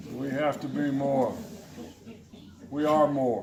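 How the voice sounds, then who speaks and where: Through noticeable background noise and audible room echo, a man speaks at a very slow pace. His voice is fairly high for a man. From Tennessee. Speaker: political candidate. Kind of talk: campaign speech.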